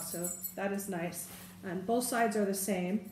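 A woman's voice at a moderate pace, with ordinary pitch variation, audible room echo and light background noise. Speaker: bag reviewer. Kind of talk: casual product review. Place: home room. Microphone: camera far.

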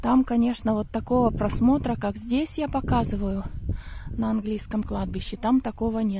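A woman speaks with a dark, mellow tone and fairly even intonation. The sound is dry with no echo, though there is noticeable background noise. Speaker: vlogger. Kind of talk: casual vlog storytelling. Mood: calm, reminiscing. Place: open country. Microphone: phone near.

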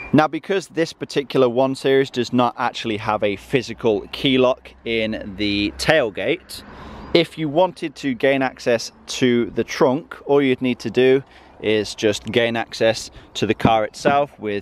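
At a fairly slow pace, the voice shows ordinary pitch variation in a dry sound with no echo. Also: man. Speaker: car channel host. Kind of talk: tutorial. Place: car. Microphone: phone near.

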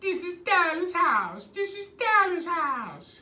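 In a put-on character voice with a Spanish accent, a female-sounding speaker goes at a fairly slow pace and an extremely high pitch. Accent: exaggerated Spanish-accented English. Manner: repetitive, cartoonish.

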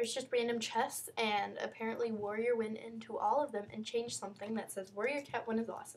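A woman's fairly high-pitched voice at a very fast pace, with fairly even intonation. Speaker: YouTuber showing her game server. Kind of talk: video game walkthrough. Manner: halting, many fillers; casual.

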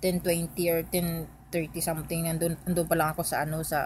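A woman's fairly low, somewhat breathy voice at a moderate pace, dry with no echo, over light background noise. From Philippines. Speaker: vlogger. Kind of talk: vlog storytelling. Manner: halting, many fillers. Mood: calm, reflective storytelling. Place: home room. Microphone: phone near.

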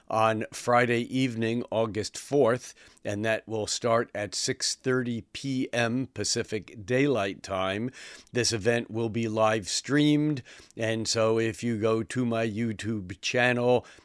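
A man speaks at a very slow pace with fairly even intonation, the sound dry with no echo. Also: quiet background. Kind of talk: monthly forecast talk to camera. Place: home room.

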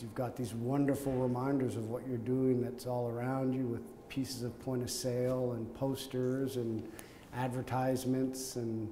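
With a Canadian accent, a man speaks at a fairly slow pace in a flat monotone, his voice somewhat breathy, over light background noise and audible room echo. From Canada, Montreal. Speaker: company executive. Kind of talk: oral history interview; interview answer. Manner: hesitant, with fillers and repetitions. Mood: warm, reminiscing. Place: office.

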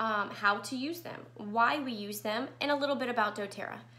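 Bright, sharp tone from a woman, her voice raised and projected. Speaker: essential oil educator. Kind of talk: live class presentation. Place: home room. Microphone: webcam.

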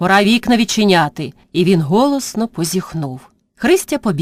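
The voice is reading aloud naturally, with lively intonation. The background is quiet.

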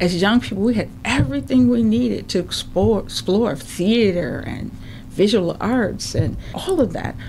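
A woman with an American accent, fairly low in pitch with very wide pitch swings, at a fairly slow pace, with audible room echo and noticeable background noise. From St. Paul, Minnesota (Rondo/Selby Dale). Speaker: media producer and entrepreneur. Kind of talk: interview. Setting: studio.

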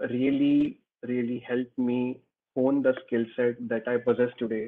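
A man speaks with an Indian accent at a fairly slow pace. The background is quiet. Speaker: engineer. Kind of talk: Q&A talk. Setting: video call. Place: home room. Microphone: video call.

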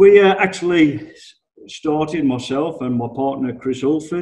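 A male speaker with an English accent at a moderate pace, quiet background. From England. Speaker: business improvement consultant. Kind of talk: webinar presentation. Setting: online webinar. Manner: casual, conversational. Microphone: video call.

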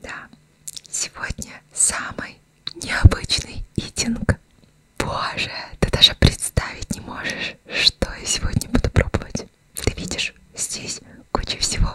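A woman whispering very slowly, with long, frequent pauses and big swings in loudness. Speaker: ASMR eating content creator; ASMR streamer. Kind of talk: casual talk to camera while eating. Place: home room. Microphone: studio mic.

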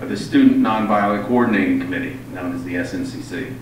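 Delivery comes at a very fast pace with ordinary pitch variation. Light background noise and audible room echo are present. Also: man. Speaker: event host introducing the guest speaker. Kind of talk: formal speaker introduction. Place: hall.

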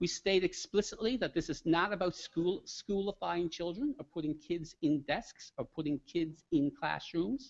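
In a Newfoundland accent, a man with a high pitch speaks at a moderate pace with lively intonation and hardly any pauses. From Newfoundland, Canada. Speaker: education researcher presenting a discussion paper; presenter. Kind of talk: conference presentation. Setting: conference room with live audience. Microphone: podium.

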